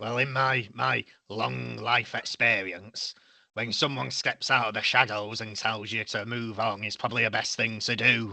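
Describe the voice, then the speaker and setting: A raspy, put-on character voice at a moderate pace. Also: man, medium pitch for a man. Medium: actual play. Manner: grumbling, wry.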